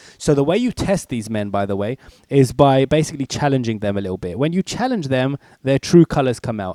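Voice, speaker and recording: Talking at a very fast pace, a man with a dark, mellow tone uses lively intonation, recorded very cleanly against a silent background with a dry, close sound and no echo. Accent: British. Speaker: author. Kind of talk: casual talk. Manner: casual.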